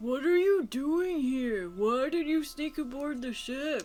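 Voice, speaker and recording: Someone puts on a character voice. The words come out fairly slowly. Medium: actual play. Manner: blunt, direct.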